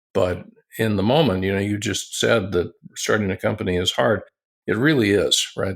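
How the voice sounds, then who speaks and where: A man with a plain, everyday voice speaks at a moderate pace and a fairly low pitch on a very clean recording with a silent background. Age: 60s. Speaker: tech company founder and internet pioneer. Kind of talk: interview.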